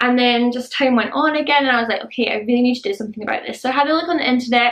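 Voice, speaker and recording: Very fast speech in a Scottish accent, fairly even in intonation, over noticeable background noise. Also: woman, high pitch for a woman. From Scotland. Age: adult. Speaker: beauty and lifestyle vlogger. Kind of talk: casual vlog talk to camera.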